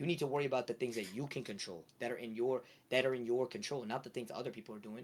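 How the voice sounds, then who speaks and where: The delivery is very fast. Pitch moves in an ordinary way. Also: man. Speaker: streamer. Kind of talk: casual chat.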